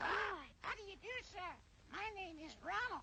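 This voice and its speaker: A put-on character voice pitched extremely high moves at a moderate pace. Clear background noise sits behind it. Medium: audio drama. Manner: repetitive, mimicking.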